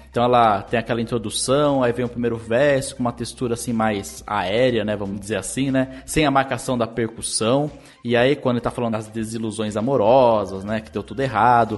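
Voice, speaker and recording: A man at medium pitch, fairly quick and with hardly any pauses, fairly even in intonation, music playing behind him. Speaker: podcast host, music analyst. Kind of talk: casual music-analysis chat.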